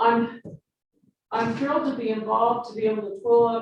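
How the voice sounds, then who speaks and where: A woman talks with a fairly high pitch. Her voice is somewhat breathy. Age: 70s. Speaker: forensic artist and portrait painter. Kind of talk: speech at a public event. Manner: animated.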